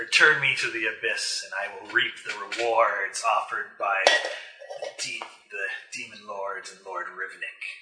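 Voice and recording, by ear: A man speaks in a put-on character voice, cackling. His pace is moderate.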